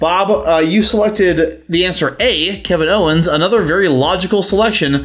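A man speaks at a moderate pace in a high voice with ordinary pitch variation, very even loudness and hardly any pauses, over noticeable background noise. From United States. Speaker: podcast host. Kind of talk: casual chat. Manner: casual, joking.

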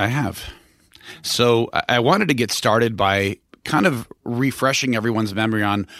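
A man's plain, everyday voice at a medium pitch with ordinary pitch variation, at a moderate pace on a very clean recording with a silent background. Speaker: listener representing audience questions. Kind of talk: interview questioning.

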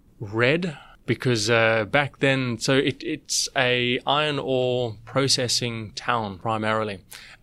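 A man speaks very slowly at a medium pitch, his loudness very even. The recording is very clean, with a silent background. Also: ordinary pitch variation. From South Africa. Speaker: startup CEO. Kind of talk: interview.

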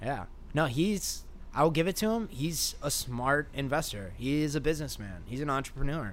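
With vocal fry and lively intonation, a man speaks at a moderate pace in a fairly high pitch, and the room echo is audible. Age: 20s. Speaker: skateboarder and artist. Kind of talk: casual chat.

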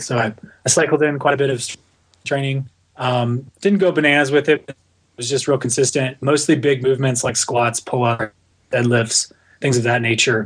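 At a moderate pace and medium pitch, a man speaks in a somewhat breathy voice with fairly even intonation. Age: 30s. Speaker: endurance coach. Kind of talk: interview. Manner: halting.

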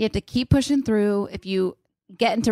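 In a normal speaking voice with lively intonation, the speaker goes at a fairly quick pace on a very clean recording with a silent background. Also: woman. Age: 30s. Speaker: podcast co-host. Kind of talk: casual chat.

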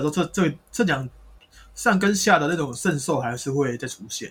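With lively intonation and a fairly quick pace, a man speaks in a normal speaking voice. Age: 30s. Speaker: spirit medium. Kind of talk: casual chat.

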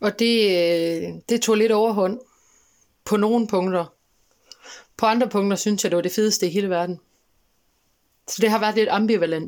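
The speech moves at a fairly slow pace with fairly even intonation. Long pauses come frequently. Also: woman, medium pitch for a woman. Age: 20s. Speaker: chronically ill young woman. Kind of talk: personal interview. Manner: hesitant, many fillers.

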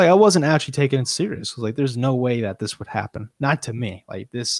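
An ordinary speaking voice from a man, medium in pitch with ordinary pitch variation, dry and close with no echo. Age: 20s. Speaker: podcast guest. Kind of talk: casual chat, podcast interview.

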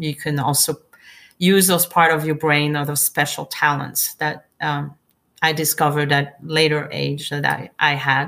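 In a French accent, a woman talks at a fairly slow pace in a very deep, low pitch, with a bright, sharp tone and monotone, flat intonation. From France, Provence. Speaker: winemaker. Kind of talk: interview. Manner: halting.

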